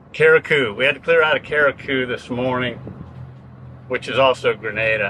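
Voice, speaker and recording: A man talks at a moderate pace in a dry sound with no echo, with noticeable background noise. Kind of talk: casual vlog chat. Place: boat. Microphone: camera far.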